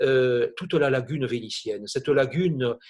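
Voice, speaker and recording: A somewhat breathy man with a southern French accent, speaking at a very slow pace. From southern France. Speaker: art historian. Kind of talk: illustrated lecture. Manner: hesitant with frequent fillers; enthusiastic.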